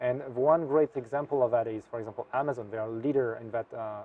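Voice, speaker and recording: Speaking with a French accent, a man talks very fast at a medium pitch. His intonation is fairly even, though his loudness swings a lot. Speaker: software developer. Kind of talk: interview. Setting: tech conference. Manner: hesitant, many fillers.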